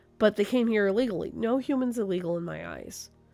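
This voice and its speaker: Over music in the background, a woman speaks at a fairly high pitch. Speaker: tattoo artist; gamer. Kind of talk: casual talk to camera.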